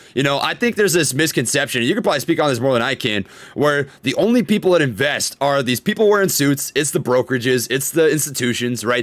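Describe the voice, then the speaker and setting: A man's fairly high, very fast speech with lively intonation. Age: 20s. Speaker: podcast host and stock YouTuber. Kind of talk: casual podcast chat. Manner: animated.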